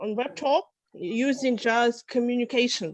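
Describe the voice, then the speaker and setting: With a Russian accent, a woman speaks at a very slow pace and a fairly high pitch. The sound is dry and close, with no echo. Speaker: psychologist and English teacher. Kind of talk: self-introduction.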